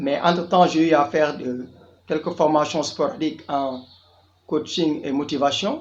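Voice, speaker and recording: The man's pitch is fairly high and his intonation fairly even. He talks at a fairly slow pace. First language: Diola (Jola) (speaking French). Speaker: tour guide and youth business coach. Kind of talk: channel introduction monologue.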